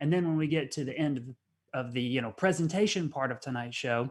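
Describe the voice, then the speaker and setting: On a very clean recording with a silent background, a man with a Southern US accent speaks in a fairly high voice with ordinary pitch variation. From US Southeast. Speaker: science cafe host. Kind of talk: live-stream hosting. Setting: video stream.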